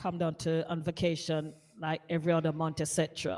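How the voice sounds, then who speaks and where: A woman's fairly low, monotone voice with a Jamaican accent, flat intonation and a fairly quick pace, on a very clean recording with a silent background. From Jamaica, Kingston. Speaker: radio DJ. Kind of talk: interview.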